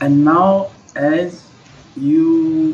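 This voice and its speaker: A man talks with an Indian accent and ordinary pitch variation. Noticeable background noise runs underneath. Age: 50s. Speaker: English teacher. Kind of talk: online English lesson. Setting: Skype call.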